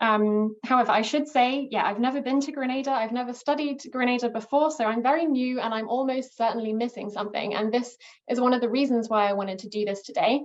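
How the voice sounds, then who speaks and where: A woman's high-pitched voice in an English accent, very fast with hardly any pauses and fairly even intonation. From England. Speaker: archaeologist and historian. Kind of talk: academic presentation. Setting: video call. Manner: hesitant, many fillers.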